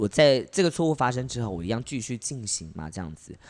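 At a moderate pace, a man talks at a medium pitch with very wide pitch swings. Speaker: podcast co-host and drag performer. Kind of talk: casual chat.

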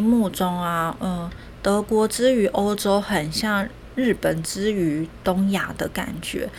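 This woman's speech moves at a fairly slow pace, its pitch varying in an ordinary way. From Taiwan. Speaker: podcast host, nutrition educator. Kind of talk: solo educational talk. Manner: hesitant with many fillers.

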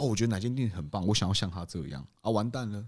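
Over a very clean recording with a silent background, a man with a fairly low pitch talks at a fairly quick pace, making very wide pitch swings. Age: 30s. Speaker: bistro co-owner. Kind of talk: casual chat.

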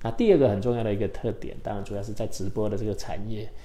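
A man with a fairly low pitch speaks in a dark, mellow tone with fairly even intonation, and some room echo can be heard. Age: 50s. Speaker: tech startup CEO. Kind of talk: interview. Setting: studio. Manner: hesitant, many filler sounds.

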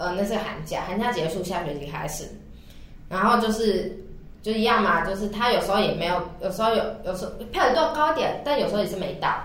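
Against noticeable background noise, a woman talks at a fairly quick pace with lively intonation. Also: medium pitch for a woman. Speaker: podcast co-host. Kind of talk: casual chat.

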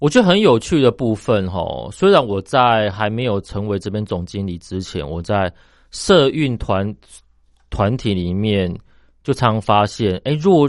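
This man's fairly low voice carries lively intonation as he talks at a fairly slow pace. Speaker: company founder and general manager. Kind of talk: radio interview. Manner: halting, many filler sounds.

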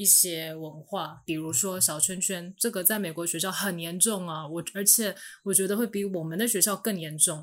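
This woman has a plain, everyday voice pitched fairly low. She talks at a moderate pace with hardly any pauses. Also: fairly even intonation. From Taiwan. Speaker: former international school student. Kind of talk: casual chat.

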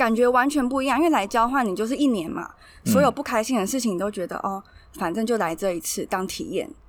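A fairly high-pitched woman's voice at a very fast pace, with lively intonation. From Taiwan. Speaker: language blogger. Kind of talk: interview.

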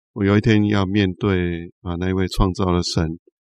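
With dry, close sound, no echo and a quiet background, a man speaks at a moderate pace in a very deep, low voice with fairly even intonation. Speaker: pastor and prison ministry worker. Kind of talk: interview.

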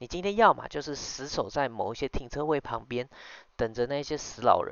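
A man at a fairly quick pace. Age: 20s. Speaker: podcast host and business owner. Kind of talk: casual solo monologue. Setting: late-night home recording. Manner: hesitant, many fillers.

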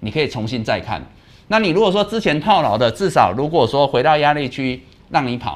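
A man's voice with vocal fry and very wide pitch swings, at a fairly quick pace. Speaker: stock market show host, analyst. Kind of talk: live market commentary.

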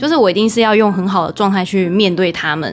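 Music can be heard behind the speech. A woman does the talking. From Taiwan. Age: 20s. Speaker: former radio host. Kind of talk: casual chat. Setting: home bedroom.

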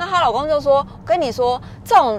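An animated woman talks fairly quickly while noticeable background noise runs beneath her. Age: 40s. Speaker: podcaster. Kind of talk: casual solo monologue.

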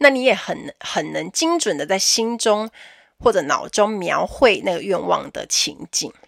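A woman with a medium-pitched, animated voice speaks at a fairly slow pace, her pitch swinging very widely, with vocal fry. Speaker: podcast host, flight attendant. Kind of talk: casual solo podcast talk.

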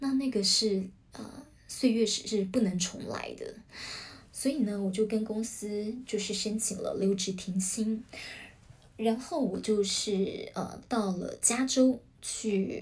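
A woman in a Taiwanese accent at a very slow pace, with a fairly high pitch, fairly even intonation, and long, frequent pauses. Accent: Taiwanese Mandarin. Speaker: podcast host, former news channel worker. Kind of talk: solo podcast talk. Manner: many filler sounds, hesitant.

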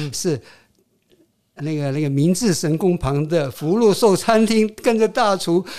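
A man with a high pitch and dark, mellow tone, fairly slow, with lively intonation and long, frequent pauses. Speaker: retired tech executive and writer. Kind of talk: interview. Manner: halting.

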